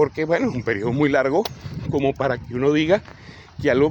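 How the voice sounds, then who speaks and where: Ordinary pitch variation from a male speaker, with noticeable background noise behind him. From Venezuela, Caracas. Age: 60s. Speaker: political commentator. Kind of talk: political commentary answering a comment. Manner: hesitant, with fillers and restarts.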